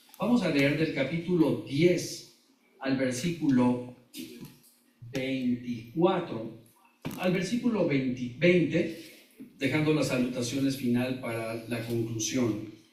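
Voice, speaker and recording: Amid audible room echo, a man speaks at a very slow pace with a medium pitch and ordinary pitch variation. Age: 60s. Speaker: pastor. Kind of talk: sermon. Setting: church.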